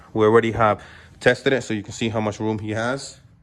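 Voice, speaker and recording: A man speaks fairly quickly, his pitch medium. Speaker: car parts seller and video maker. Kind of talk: tutorial. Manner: fast; casual, with many fillers.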